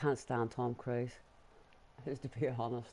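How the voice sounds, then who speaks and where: Delivered at a moderate pace in a Northern Irish accent, the voice has a dark, mellow tone and a monotone, flat intonation. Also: man. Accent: Northern Irish, muted. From Northern Ireland, Belfast. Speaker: gaming live streamer. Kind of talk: live gameplay stream chat. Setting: at home on sofa with dog.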